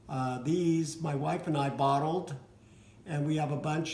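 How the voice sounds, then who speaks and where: At a fairly slow pace, a man speaks in a fairly high pitch with monotone, flat intonation and audible room echo. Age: 60s. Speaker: vlogger with cystic fibrosis. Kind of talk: casual personal vlog. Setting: dining room at home. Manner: halting, with fillers.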